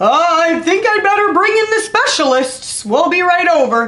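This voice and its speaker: Mumbling in a put-on character voice, the speaker talks at an extremely high pitch and a moderate pace. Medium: read story. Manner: mumbling, hesitant.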